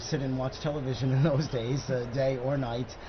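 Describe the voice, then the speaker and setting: A man's medium-pitched voice at a moderate pace, with audible room echo and noticeable background noise. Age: 70s. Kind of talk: live broadcast panel chat. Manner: halting.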